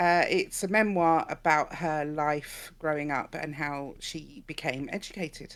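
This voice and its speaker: Over a very clean recording with a silent background, a woman with an English accent and a very deep, low pitch talks at a fairly slow pace with ordinary pitch variation and hardly any pauses. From England. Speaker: podcast co-host. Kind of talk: casual book discussion. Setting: live stream and podcast recording.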